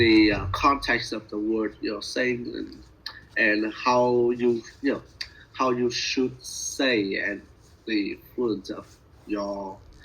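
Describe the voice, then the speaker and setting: A man speaks with a Vietnamese accent. His pace is very slow. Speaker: language student. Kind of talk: speaking practice conversation. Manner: halting, many fillers.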